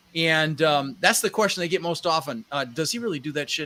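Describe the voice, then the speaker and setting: A man with an American accent speaks at a moderate pace in a bright, sharp tone, his pitch fairly high. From Netherlands. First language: Dutch. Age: 60s. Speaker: real estate investor. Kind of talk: podcast interview. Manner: animated.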